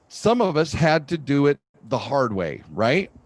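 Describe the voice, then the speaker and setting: In a plain, everyday voice, a man speaks fairly slowly at a fairly high pitch with lively intonation, the sound dry and close with no echo over a quiet background. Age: 60s. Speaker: podcast host. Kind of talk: interview.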